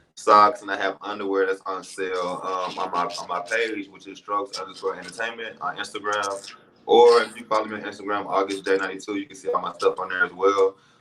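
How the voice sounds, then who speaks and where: Racing at a very fast pace with hardly any pauses, a man talks in a fairly low pitch with monotone, flat intonation and big swings in loudness. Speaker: reality TV personality and small business owner. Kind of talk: live interview, casual chat.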